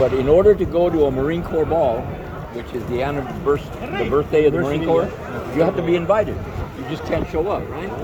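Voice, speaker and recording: Over noticeable background noise and audible room echo, a man with a fairly high pitch talks very fast yet leaves long, frequent pauses. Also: ordinary pitch variation. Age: 80s+. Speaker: Vietnam war veteran. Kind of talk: casual interview.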